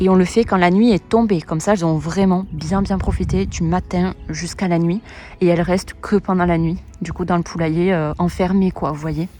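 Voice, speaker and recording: There is noticeable background noise as a woman with a fairly low pitch talks at a fairly quick pace. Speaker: poultry keeper vlogger. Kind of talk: casual vlog tour. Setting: outdoors. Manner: whispering, quiet outdoors; hesitant, many fillers.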